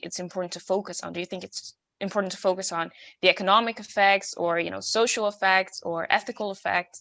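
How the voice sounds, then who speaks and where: In a very clean recording with a silent background, a woman with a bright, sharp tone speaks at a fairly quick pace, her medium pitch held in fairly even intonation. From Netherlands, Rotterdam. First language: Dutch. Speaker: student moderator. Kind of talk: Q&A discussion.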